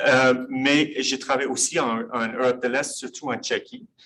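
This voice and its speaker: A man with an English accent speaks at a fairly slow pace. His pitch is medium. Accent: English-speaker accent in French. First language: English (speaking French). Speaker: professor. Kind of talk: lecture. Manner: halting.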